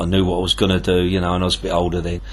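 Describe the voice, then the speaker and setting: Against noticeable background noise, a man with a southern English accent speaks in a very deep, low pitch. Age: 60s. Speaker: tackle shop owner and angler. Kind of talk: interview. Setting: tackle shop.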